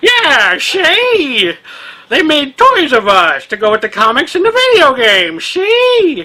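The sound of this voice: A woman's put-on character voice, high in pitch with very wide pitch swings, at a fairly slow pace.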